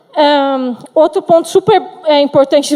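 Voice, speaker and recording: This woman's voice sits high in pitch. Its pitch variation is ordinary. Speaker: software engineer, conference speaker. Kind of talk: conference talk. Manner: fast; halting, with fillers and restarts.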